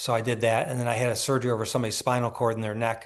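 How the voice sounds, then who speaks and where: A man talks at a very fast pace. His medium-pitched voice has monotone, flat intonation. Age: 60s. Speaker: neurosurgeon. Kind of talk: interview. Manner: conversational, with frequent restarts.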